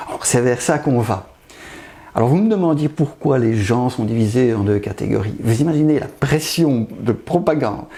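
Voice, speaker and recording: Over noticeable background noise, the speaker delivers lines at a moderate pace with lively intonation. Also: man. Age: 60s. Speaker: pathologist. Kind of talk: interview.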